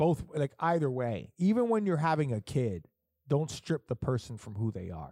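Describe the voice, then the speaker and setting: A man's fairly high voice with a dark, mellow tone, very wide pitch swings and a moderate pace. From Puerto Rican heritage. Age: 30s. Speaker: podcast host. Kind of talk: casual chat. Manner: animated.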